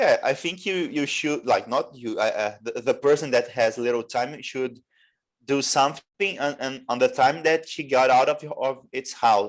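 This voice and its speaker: A man with a Portuguese accent speaks at a moderate pace against a quiet background. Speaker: English learner. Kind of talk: English conversation class. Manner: halting, many restarts; stutters at times.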